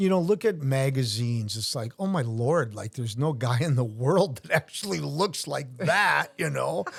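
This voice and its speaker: A man with an American accent, medium pitch, very wide pitch swings, a somewhat breathy quality and hardly any pauses. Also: moderate pace. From US Midwest, Wisconsin (Brookfield). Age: 60s. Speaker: retired sheriff's officer and Ironman athlete. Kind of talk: casual interview chat.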